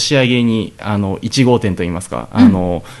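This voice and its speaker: A man speaking at a moderate pace. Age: 20s. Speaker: Brazilian jiu-jitsu fighter and gym owner. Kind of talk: radio interview. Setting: radio studio.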